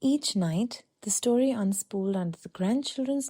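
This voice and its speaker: The tone is soothing and calm, somewhat breathy, with lively intonation. The pace stays moderate. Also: woman. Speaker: sleep story narrator. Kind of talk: sleep story. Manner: soft, soothing, calm.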